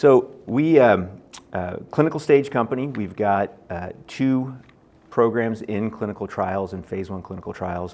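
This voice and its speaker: A man with a normal speaking voice and an American accent, medium pitch, ordinary pitch variation, big swings in loudness and a fairly slow pace. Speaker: biotech company executive. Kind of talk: conference presentation. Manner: many fillers and false starts.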